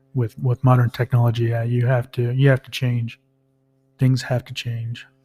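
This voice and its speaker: Soft-spoken and somewhat breathy, a man speaks in a medium pitch with a dark, mellow tone, monotone, flat intonation and big swings in loudness, in a dry, close sound with no echo. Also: moderate pace. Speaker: podcast co-host. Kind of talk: casual chat.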